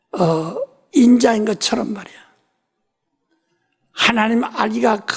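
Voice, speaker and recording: A woman speaks at a very slow pace. Her fairly high voice swings very widely in pitch. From South Korea, Ulsan. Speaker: pastor. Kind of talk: sermon.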